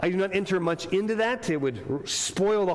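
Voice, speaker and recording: Ordinary pitch variation marks this man's very fast delivery. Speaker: pastor. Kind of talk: sermon. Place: church. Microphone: lapel.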